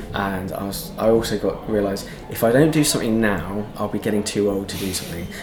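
Talking at a very fast pace, a man with a fairly low pitch and ordinary pitch variation is heard through noticeable background noise and audible room echo. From Devon, England. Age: 30s. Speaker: LGBT police liaison officer. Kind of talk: casual interview conversation. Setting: theatre green room. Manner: hesitant, many fillers.

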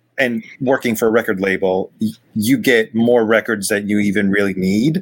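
This is an ordinary speaking voice moving at a moderate pace. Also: man. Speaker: vinyl collector guest.

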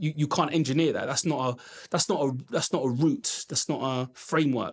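With a London accent, a man speaks at a fairly high pitch and with ordinary pitch variation. The recording is very clean, with a silent background. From London, Brent. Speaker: education entrepreneur. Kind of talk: interview.

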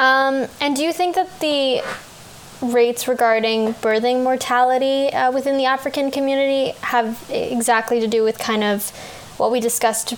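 Noticeable background noise is present. A woman speaks at a high pitch with fairly even intonation. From Canada. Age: 20s. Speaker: podcast host. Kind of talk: interview conversation.

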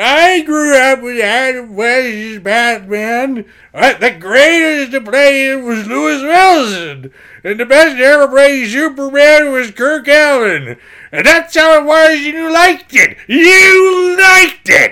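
In a very clean recording with a silent background, a put-on character voice speaks high and fairly slowly. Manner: ranting, indignant.

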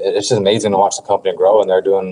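A man with an unremarkable speaking voice, fairly low in pitch, his intonation fairly even. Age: 20s. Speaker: pro wrestler and former collegiate wrestler. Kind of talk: casual interview.

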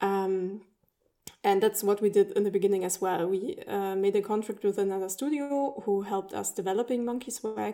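A woman's dark, mellow, medium-pitched voice, with fairly even intonation and a moderate pace. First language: German. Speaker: indie game studio founder. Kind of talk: interview.

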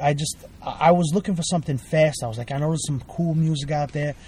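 A man talks at a fairly quick pace with a Brooklyn accent. His voice is fairly high, with a dark, mellow tone. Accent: New York (Brooklyn). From Brooklyn, New York (Bensonhurst). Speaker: guest, hardcore music fan. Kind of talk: casual chat. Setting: in a car.

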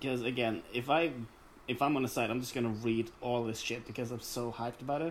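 A man with a non-native accent at a medium pitch, very fast pace and fairly even intonation. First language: not English. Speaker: podcast co-host and video editor. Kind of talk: casual chat.

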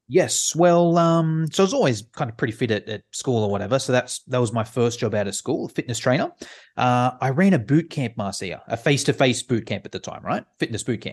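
With an Australian accent, a man speaks at a fairly quick pace and a medium pitch. His intonation is lively against a quiet background. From Sydney, Australia. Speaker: online course creator. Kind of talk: casual interview. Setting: video call.

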